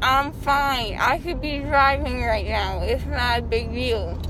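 Against noticeable background noise, a woman speaks at a very slow pace in a dry sound with no echo. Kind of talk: casual vlog chat. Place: car. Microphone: phone near.

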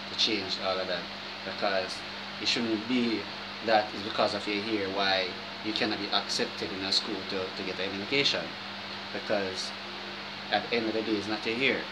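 Amid loud background noise, a man speaks at a moderate pace with long, frequent pauses. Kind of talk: casual vlog chat. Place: home room. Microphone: phone near.

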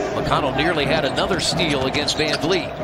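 Loud background noise fills this dry recording with no echo. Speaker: play-by-play commentator. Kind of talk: live basketball play-by-play commentary, broadcast highlight clip. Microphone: headset.

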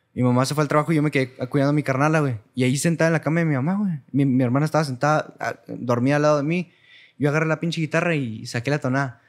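His intonation is fairly even. This man talks very fast. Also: quiet background. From Cuauhtémoc, Chihuahua, northern Mexico; Chihuahua, Mexico. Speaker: singer; guest. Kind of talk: casual chat. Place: studio. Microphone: studio mic.

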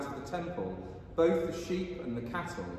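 A man's high voice at a moderate pace, ordinary pitch variation, strong room echo and light background noise. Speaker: priest. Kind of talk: liturgy and sermon. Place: church. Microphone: camera far.

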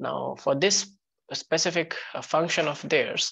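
A woman speaks at a moderate pace. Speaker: teacher. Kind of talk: lecture.

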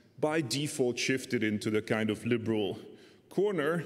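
A man speaks at a fairly slow pace with a Hungarian accent. His pitch is medium, with ordinary pitch variation. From Hungary. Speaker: economist and political scientist; speaker. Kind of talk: academic discussant commentary. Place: hall. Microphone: podium.

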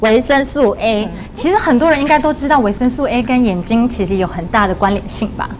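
A woman speaks at a high pitch with lively intonation. Light background noise is present. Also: fairly quick pace. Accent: Malaysian. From Malaysia. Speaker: dietitian. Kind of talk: livestream health talk, casual chat. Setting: studio livestream. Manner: lively, laughs often. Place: studio. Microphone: lapel.

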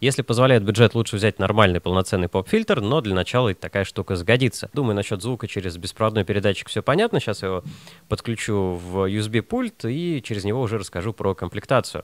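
A man's fast, lively-intoned speech at a fairly low pitch

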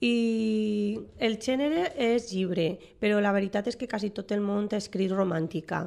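In a Valencian accent, a woman speaks at a medium pitch with ordinary pitch variation. Her pace is fairly slow. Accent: Valencian Catalan. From Valencia region, Spain. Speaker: writer and teacher; teacher. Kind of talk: radio interview. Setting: radio studio. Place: studio.

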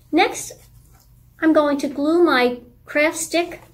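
This clip features a woman talking. She goes very slowly. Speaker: presenter. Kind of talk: tutorial. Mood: warm, gentle.

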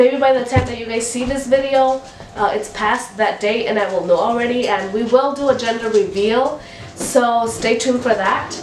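There is audible room echo and light background noise. A woman talks in a high pitch with ordinary pitch variation. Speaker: mom vlogger. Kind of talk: casual vlog chat. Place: home room.

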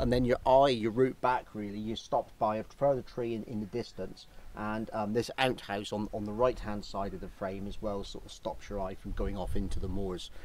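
A normal speaking voice moves at a moderate pace with fairly even intonation and hardly any pauses, in a dry sound with no echo. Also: man, fairly low pitch for a man. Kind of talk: casual vlog chat. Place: open country.

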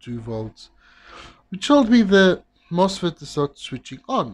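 A somewhat breathy man speaks at a very slow pace. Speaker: electronics repair technician. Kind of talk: tutorial.

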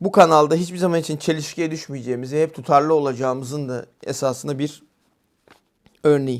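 Fairly even intonation at a fairly quick pace. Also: man, fairly high pitch for a man. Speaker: YouTube channel host, political commentator. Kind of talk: channel introduction monologue. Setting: home study with bookshelves. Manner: frequent filler hesitations.

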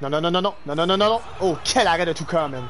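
A man speaks with a Quebec accent. Light background noise can be heard. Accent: Québécois French. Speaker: gaming streamer. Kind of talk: live game streaming with chat; live game commentary. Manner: animated. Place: home room. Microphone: headset.

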